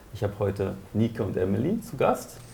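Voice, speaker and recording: Somewhat breathy and dark, mellow in tone, a man with a German accent speaks at a moderate pace in a fairly low pitch. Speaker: festival moderator. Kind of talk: interview introduction.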